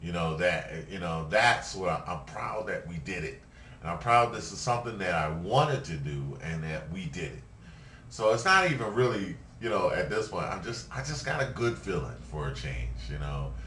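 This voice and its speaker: With a very deep, low pitch and a bright, sharp tone, a man speaks at a moderate pace in very wide pitch swings, with audible room echo around him. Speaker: video blogger. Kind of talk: casual vlog monologue. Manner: halting, many fillers.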